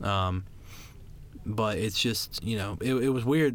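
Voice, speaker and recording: A man's normal speaking voice, fairly low in pitch, with ordinary pitch variation at a fairly slow pace. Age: young. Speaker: podcast co-host, college student. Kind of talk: casual chat.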